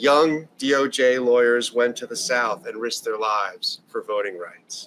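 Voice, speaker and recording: A man with a medium pitch and ordinary pitch variation keeps to a moderate pace. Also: big swings in loudness. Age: 60s. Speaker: political event speaker. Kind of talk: political speech. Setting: house party with audience. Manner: earnest, impassioned.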